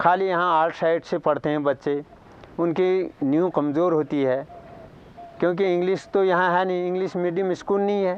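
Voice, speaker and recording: A man speaks with a high pitch. His intonation is fairly even. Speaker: villager. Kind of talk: interview.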